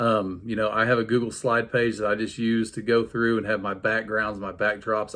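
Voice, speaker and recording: On a very clean recording with a silent background, a man with an unremarkable speaking voice and medium pitch talks at a moderate pace. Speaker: PE teacher. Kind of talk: tutorial. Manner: casual, many fillers.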